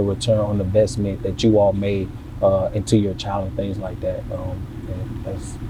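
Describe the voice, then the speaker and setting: Over noticeable background noise, a man with a fairly low pitch speaks at a fairly quick pace with fairly even intonation. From US South, Savannah, Georgia. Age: 20s. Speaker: local influencer. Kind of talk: podcast interview.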